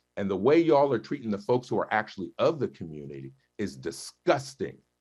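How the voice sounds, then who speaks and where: Loud and animated, a man with a medium pitch speaks at a fairly quick pace, with vocal fry and very wide pitch swings. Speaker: school board director. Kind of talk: heated debate. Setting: video call.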